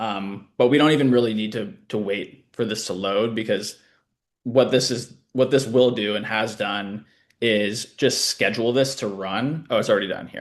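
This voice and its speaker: Against a quiet background, a man uses an ordinary speaking voice at medium pitch, moving at a moderate pace with fairly even intonation. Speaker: short-term rental company founder. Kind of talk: live webinar demo.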